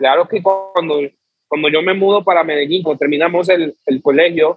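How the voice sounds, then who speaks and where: Using a normal speaking voice, a man talks at a fairly quick pace with fairly even intonation and a fairly high pitch. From Colombia, Chocó (Pacific coast). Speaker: music producer and singer. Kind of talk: casual interview.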